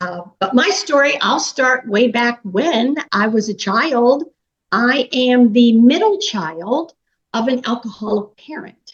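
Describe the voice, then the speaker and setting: With an American accent, a woman speaks very slowly in a high pitch with lively intonation. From US, Pittsburgh, Pennsylvania. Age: 60s. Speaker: business coach. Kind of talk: interview, personal story.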